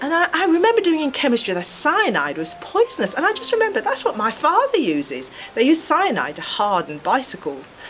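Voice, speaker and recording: A woman rattles on at a fairly quick pace, hardly pausing, while noticeable background noise runs underneath. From rural Jamaica, then UK from age 11. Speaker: physiotherapy lecturer. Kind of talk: life story interview. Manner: reflective, some hesitations.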